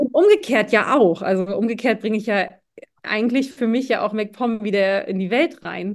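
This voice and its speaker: A woman with an unremarkable speaking voice talks at a fairly high pitch, and her pitch varies in an ordinary way. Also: moderate pace. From Mecklenburg-Western Pomerania, Schwerin. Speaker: keynote speaker and leadership mentor. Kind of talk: interview.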